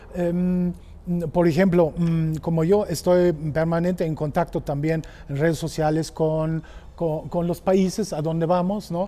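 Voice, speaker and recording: A man with a German accent speaks in a monotone, flat way. His high-pitched voice moves at a fairly slow pace. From Germany. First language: German (speaking Spanish). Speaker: motorcycle tour operator. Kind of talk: casual chat. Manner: halting.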